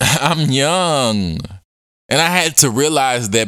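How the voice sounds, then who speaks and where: Here a man speaks in an animated tone. His pace is fairly slow. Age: 20s. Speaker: podcast host. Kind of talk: casual monologue.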